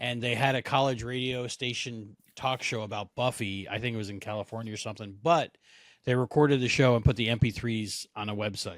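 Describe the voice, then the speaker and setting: In a very clean recording with a silent background, a man of medium pitch speaks fairly quickly with an American accent and fairly even intonation. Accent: New Jersey, unless suppressed. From New Jersey, Monmouth County. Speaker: podcaster. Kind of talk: casual chat.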